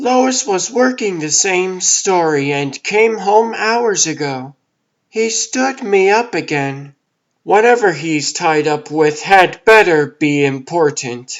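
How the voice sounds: Doing a put-on character voice, a man speaks at a high pitch and fairly slow pace with very wide pitch swings.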